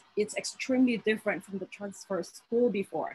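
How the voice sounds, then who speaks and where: With a strong Filipino accent, a woman speaks at a medium pitch, her voice somewhat breathy and her pitch varying in an ordinary way. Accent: heavy Filipino. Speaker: teacher and graduate student. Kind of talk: panel discussion. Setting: video call. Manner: halting.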